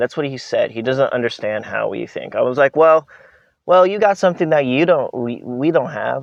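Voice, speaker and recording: Recorded with a dry, close sound, no echo and a quiet background, a man speaks with an American accent and ordinary pitch variation. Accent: sounds American, says English is strong. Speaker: vlogger. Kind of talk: casual vlog monologue. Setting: outdoors. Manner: hesitant, many fillers and restarts.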